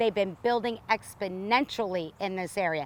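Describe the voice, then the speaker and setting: A woman with an unremarkable speaking voice keeps to a moderate pace. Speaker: land auction property presenter. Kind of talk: property walkthrough presentation to camera. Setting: outdoors on location. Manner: upbeat, salesy, conversational.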